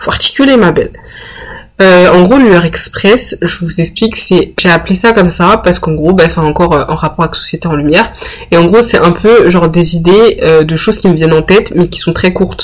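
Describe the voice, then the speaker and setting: Noticeable background noise runs beneath this recording. A woman speaks at a fairly quick pace in a fairly low pitch with ordinary pitch variation. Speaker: podcast host. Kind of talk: solo monologue, casual. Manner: hesitant, many fillers.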